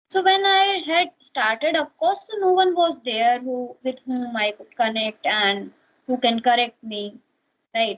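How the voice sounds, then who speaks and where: A woman with an Indian accent speaks at a fairly slow pace, her fairly high voice carrying lively intonation. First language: Hindi. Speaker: English learner. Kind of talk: casual chat. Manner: halting.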